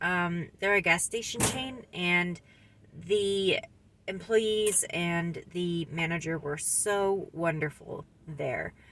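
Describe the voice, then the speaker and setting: A woman speaks at a very slow pace. Her voice is fairly low in pitch, with a bright, sharp tone. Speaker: van-dwelling vlogger. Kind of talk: casual vlog. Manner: hesitant, many fillers.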